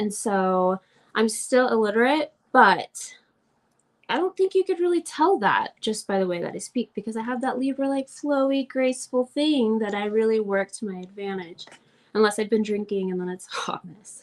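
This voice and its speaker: A woman speaks in a fairly high pitch with a slight Southern US accent. Her intonation is lively. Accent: slight Southern drawl. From Oklahoma, US. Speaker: astrology teacher. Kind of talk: live class. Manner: casual, chatty.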